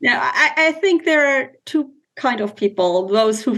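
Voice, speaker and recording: With a German accent, a woman speaks at a moderate pace using lively intonation. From Germany. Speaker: business executive and mother. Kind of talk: interview. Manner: hesitant, halting.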